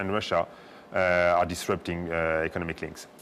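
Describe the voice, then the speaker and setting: Very deep, low-pitched speech from a man with a French accent at a fairly quick pace. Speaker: diplomat. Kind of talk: talk show interview. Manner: hesitant, many fillers.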